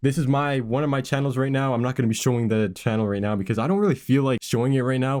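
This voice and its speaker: A man talks at a very fast pace with hardly any pauses. His pitch varies in an ordinary way. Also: medium pitch for a man, very even loudness. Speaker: YouTube creator. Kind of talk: casual tutorial while gaming.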